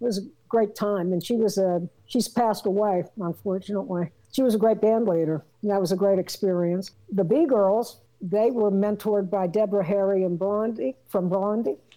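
Her American accent carries a dark, mellow tone as this woman speaks with very even loudness and ordinary pitch variation. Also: medium pitch for a woman, moderate pace. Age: 60s. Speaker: rock singer and drummer. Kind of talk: casual interview. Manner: animated, rambling.

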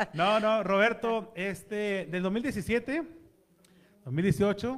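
A man's high-pitched voice with lively intonation. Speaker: radio host. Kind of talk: casual chat.

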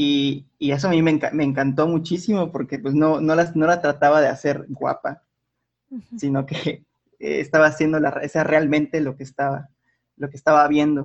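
A man with a fairly high pitch talks at a moderate pace, his intonation fairly even. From Mérida, Yucatán, Mexico. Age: 20s. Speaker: digital artist. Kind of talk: interview. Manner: halting, many fillers.

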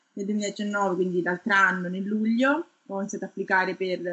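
Using an ordinary speaking voice, a woman speaks at a medium pitch and a moderate pace. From Tuscany, Italy (Garfagnana, province of Lucca). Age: 30s. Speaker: research scientist. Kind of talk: interview.

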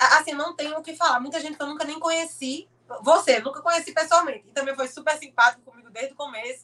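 A woman's raised, projected voice, high in pitch, with a bright, sharp tone and ordinary pitch variation. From Brazil, Pernambuco (Olinda). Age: 20s. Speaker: motorsport content creator and kart driver. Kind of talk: casual interview.

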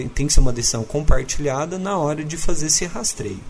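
Lively intonation from a man with a fairly high pitch, over noticeable background noise. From Minas Gerais, Uberlândia. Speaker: doctor. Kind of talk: interview.

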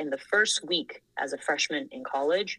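A woman speaks at a fairly quick pace. Her fairly low voice has a bright, sharp tone. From Thailand (Bangkok). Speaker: engineering manager. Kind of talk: casual chat.

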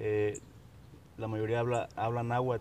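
A man speaks in a monotone with flat intonation. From Mexico, Huasteca region of Veracruz. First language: Nahuatl (speaking Spanish). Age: 20s. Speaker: sociology graduate, Nahuatl speaker. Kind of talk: interview. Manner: halting, many fillers.

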